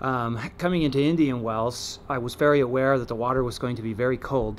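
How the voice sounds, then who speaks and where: A man at a fairly quick pace, with fairly even intonation and light background noise. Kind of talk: casual vlog chat. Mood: reflective, calm. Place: waterside. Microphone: camera far.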